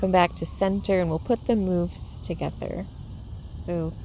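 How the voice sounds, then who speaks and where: Audible room echo around a woman speaking fairly slowly. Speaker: yoga teacher. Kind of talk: guided yoga class. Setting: outdoors in a garden.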